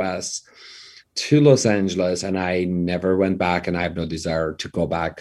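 In a dark, mellow tone, a man with a very deep, low pitch speaks at a moderate pace. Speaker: real estate entrepreneur and author. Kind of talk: interview.

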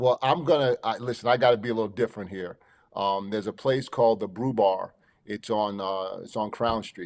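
A man with a New York accent at a fairly quick pace, medium-pitched, with ordinary pitch variation, against a quiet background. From New York, Long Island. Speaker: college basketball head coach. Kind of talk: casual interview.

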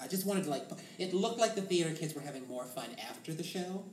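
An American accent over noticeable background noise. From Boston. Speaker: musical theatre performer. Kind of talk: casual chat.

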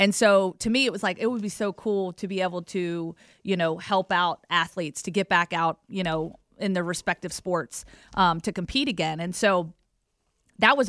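A woman with an American accent and an ordinary speaking voice, medium in pitch, with ordinary pitch variation and a moderate pace, in a very clean recording with a silent background and a dry, close sound with no echo. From Virginia, US South (Roanoke area). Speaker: sports broadcaster. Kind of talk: interview.

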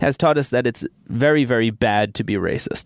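This man has an unremarkable speaking voice, medium in pitch, with ordinary pitch variation. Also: dry, close sound with no echo. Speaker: science editor. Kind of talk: interview explaining research.

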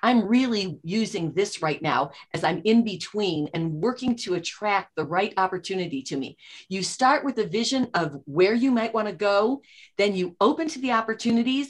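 This woman has an ordinary speaking voice at a medium pitch, with lively intonation and an American accent. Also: moderate pace. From US Midwest, Chicago suburbs. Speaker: author and entrepreneur. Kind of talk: interview.

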